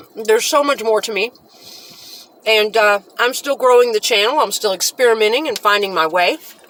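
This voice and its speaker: Noise is clearly audible behind the voice. The delivery is fairly quick. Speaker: channel host, mukbang vlogger. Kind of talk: casual food tasting vlog. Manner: fast.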